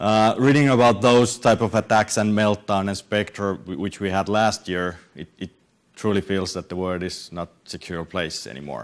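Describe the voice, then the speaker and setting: A man with a Finnish accent talks at a fairly low pitch. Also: ordinary pitch variation, moderate pace, big swings in loudness. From Finland. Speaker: software developer and conference speaker. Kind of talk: conference talk. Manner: halting, many repetitions and fillers.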